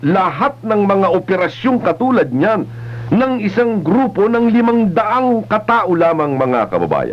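A man speaks at a fairly slow pace. His pitch swings very widely. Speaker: radio news commentator. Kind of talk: radio news commentary. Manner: emphatic, rhetorical. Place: studio. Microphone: old recording.

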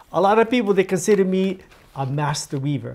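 The tone of this man's voice is dark and mellow. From Hawaii. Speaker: weaver. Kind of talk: demonstration talk. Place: office.

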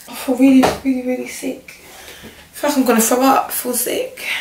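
In a room with strong echo, a woman speaks at a fairly quick pace in a high pitch, her intonation fairly even and her tone slightly mellow.

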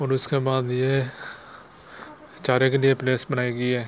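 At a moderate pace, a man speaks in a medium pitch with monotone, flat intonation over faint background noise.

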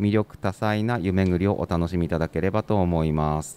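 With a dry, close sound and no echo, the man speaks with ordinary pitch variation. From Yamagata, Shonai region (Sakata). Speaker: prefectural government staff. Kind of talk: reading aloud; interview. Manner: formal, with hesitations.

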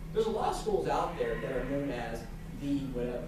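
Talking at a very fast pace, a man is heard with audible room echo and noticeable background noise. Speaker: guest speaker from a sports apparel company. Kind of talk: lecture. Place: classroom. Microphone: camera far.

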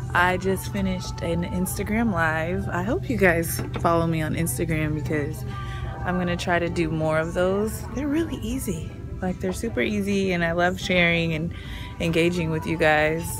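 A woman speaks at a moderate pace over clear background music. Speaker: lifestyle vlogger. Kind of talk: casual vlog chat. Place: shop. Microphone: phone near.

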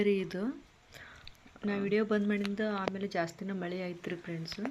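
Noticeable background noise sits behind a woman speaking at a medium pitch with fairly even intonation. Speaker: vlogger. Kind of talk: casual vlog narration and cooking tutorial. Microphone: no microphone, voice not clear.

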